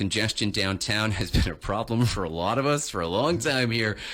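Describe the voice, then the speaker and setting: A man speaks in an upbeat tone. The recording is very clean, with a silent background. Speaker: radio morning show host. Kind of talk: radio interview host.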